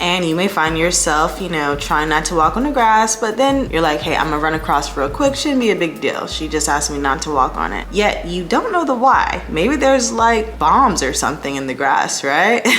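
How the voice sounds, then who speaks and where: A woman talks at a moderate pace with hardly any pauses, amid audible room echo and noticeable background noise. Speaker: home organization youtuber. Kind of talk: casual vlog tutorial. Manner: slightly lisping from retainer.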